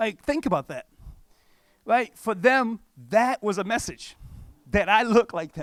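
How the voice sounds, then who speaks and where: The speaker has an animated tone and lively intonation, with big swings in loudness and a fairly slow pace. Long, frequent pauses break up the speech, and the sound is dry and close with no echo. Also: man, high pitch for a man. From Cape Verde, West Africa. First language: not English. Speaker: pastor. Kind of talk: conference talk. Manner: casual, conversational.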